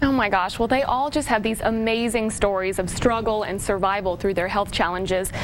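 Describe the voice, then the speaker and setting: Against noticeable background noise, a woman with a fairly high pitch talks at a fairly quick pace with hardly any pauses. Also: ordinary pitch variation. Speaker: TV news reporter. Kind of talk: TV news report.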